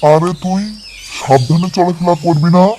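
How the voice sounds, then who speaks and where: Delivered at a moderate pace, a cartoonish character voice sits at a middle pitch. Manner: friendly, reassuring.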